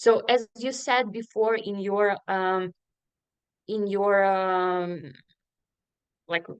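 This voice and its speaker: A woman talks very slowly, leaving long, frequent pauses. Her pitch is medium with ordinary variation, and the background is quiet. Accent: Ukrainian. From Ukraine (Sloviansk, Donetsk region). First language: Ukrainian. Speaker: refugee resettlement worker. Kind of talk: panel discussion. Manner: halting, many fillers.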